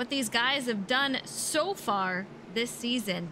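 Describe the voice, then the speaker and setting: Over noticeable background noise, a woman speaks in an animated, upbeat tone. Her pitch variation is ordinary. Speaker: race commentator. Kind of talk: live race commentary. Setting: online livestream broadcast. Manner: animated, upbeat play-by-play.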